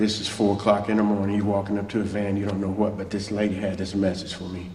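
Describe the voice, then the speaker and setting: A man speaks at a fairly low pitch in a monotone, flat intonation. Audible room echo and noticeable background noise surround him. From US South, Mobile, Alabama. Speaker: church guest speaker, former musician. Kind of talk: testimony. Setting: church. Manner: fast.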